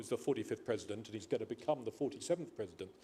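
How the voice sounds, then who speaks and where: A man with an English accent speaks in a fairly high voice, and his pitch varies in an ordinary way. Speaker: panel speaker. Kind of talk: panel discussion. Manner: halting.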